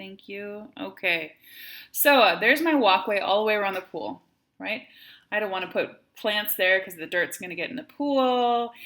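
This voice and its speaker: A woman speaks at a moderate pace with a Wisconsin accent. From Wisconsin, US. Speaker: math teacher. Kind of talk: tutorial.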